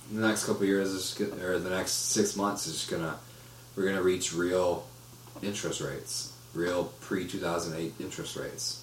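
A man with a very deep, low pitch and ordinary pitch variation, with audible room echo and noticeable background noise. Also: moderate pace. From Florida, Orlando. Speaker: podcast co-host. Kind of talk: casual chat.

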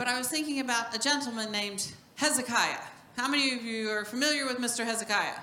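Over noticeable background noise, a woman speaks at a very fast pace in a high pitch with fairly even intonation. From New Mexico. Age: 50s. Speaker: minister's wife. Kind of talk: sermon. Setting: church.

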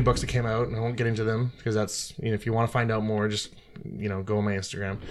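A man talks at a very fast pace. He speaks with a Canadian accent. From Victoria, British Columbia, Canada. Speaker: podcast co-host, military worker. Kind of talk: casual chat.

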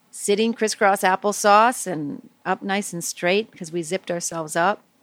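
A woman at a medium pitch speaks at a fairly slow pace with ordinary pitch variation and a normal speaking voice, in a dry, close recording with no echo. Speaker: meditation teacher. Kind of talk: guided meditation for children. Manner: soft, slow, soothing; gentle, warm, playful.

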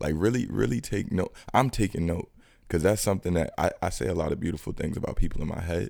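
In a New York accent, a man talks at a very fast pace with lively intonation, vocal fry, and a very deep, low pitch. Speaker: criminal justice advocate. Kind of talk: casual chat.

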